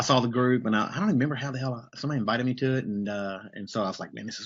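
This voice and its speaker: A man with a Southern US accent talks at a very fast pace. His pitch is medium, with ordinary pitch variation. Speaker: business coach. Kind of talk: casual interview on a livestream. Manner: casual, many fillers and repetitions.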